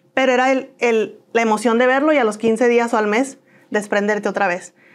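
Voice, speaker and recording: With ordinary pitch variation, a woman gets through her words at a fairly quick pace. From northern Mexico (Comarca Lagunera, Coahuila/Durango); northern Mexico. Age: 30s. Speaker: interviewee. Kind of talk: interview testimony. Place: studio. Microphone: lapel.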